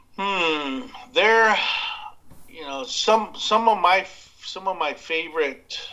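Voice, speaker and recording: A raised, projected voice with an American accent moves at a very slow pace with long, frequent pauses. Loudness swings widely, pitch variation is ordinary, and background noise is noticeable. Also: man, high pitch for a man. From West Texas (Abilene). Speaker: barbecue podcast host. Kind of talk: casual interview. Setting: Skype call.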